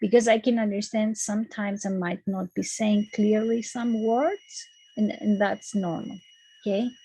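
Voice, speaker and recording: With a Greek accent, a woman speaks at a moderate pace in a somewhat breathy voice with fairly even intonation. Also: fairly high pitch for a woman. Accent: Greek accent, noticeable. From Greece. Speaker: university lecturer. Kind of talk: lecture. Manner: hesitant, many fillers.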